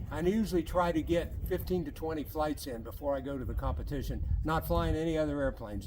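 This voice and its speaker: A man with an American accent at a very fast pace, with audible room echo. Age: 70s. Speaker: RC model jet pilot and competitor. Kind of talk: interview.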